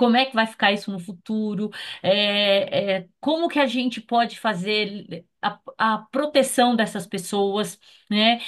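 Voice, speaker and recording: A plain, everyday voice of a woman, pitched fairly high, its pitch varying in an ordinary way. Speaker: consultant. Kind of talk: meeting discussion.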